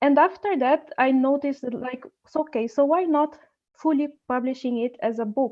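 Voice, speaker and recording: Speaking at a moderate pace with a Portuguese accent, a woman uses a high pitch and ordinary pitch variation. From Brazil, Rio de Janeiro. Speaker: novelist. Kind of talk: interview.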